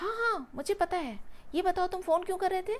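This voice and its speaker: A woman's put-on character voice, squeaky and extremely high, raised and projected at a fairly quick pace. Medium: read story. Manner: short, measured replies.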